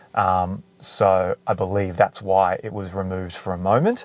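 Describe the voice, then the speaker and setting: Someone with an Australian accent speaks at a fairly slow pace. The sound is dry and close with no echo, in a very clean recording with a silent background. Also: man. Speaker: car video creator. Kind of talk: tutorial. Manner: casual.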